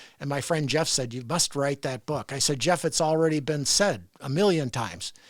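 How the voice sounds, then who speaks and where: A fairly high-pitched man's voice with ordinary pitch variation, on a very clean recording with a silent background. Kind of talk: interview conversation. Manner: fast.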